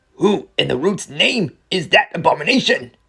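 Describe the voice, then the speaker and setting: Using a put-on character voice, a man speaks in a high pitch at a moderate pace. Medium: read story. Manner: sneering, scornful.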